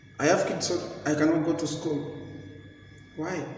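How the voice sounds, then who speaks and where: A man's fairly slow speech amid noticeable background noise and audible room echo. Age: 30s. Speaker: vlogger. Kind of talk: motivational talk. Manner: halting.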